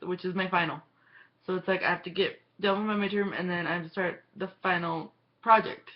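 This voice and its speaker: The woman's voice sits fairly low in pitch and stays monotone, with flat intonation. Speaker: college student. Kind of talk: casual talk to camera.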